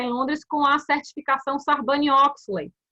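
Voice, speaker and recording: A woman with a Bahian accent speaks in a raised, projected voice that has a bright, sharp tone. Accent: Bahian Brazilian Portuguese. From Bahia, Brazil. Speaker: corporate compliance officer. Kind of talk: interview. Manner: animated.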